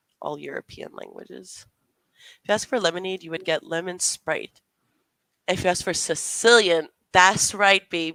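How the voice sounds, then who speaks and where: The voice has a bright, sharp tone with vocal fry and big swings in loudness, at a moderate pace with long, frequent pauses. The sound is dry and close, with no echo. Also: woman, fairly low pitch for a woman. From Canada. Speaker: booktuber. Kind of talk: casual chat.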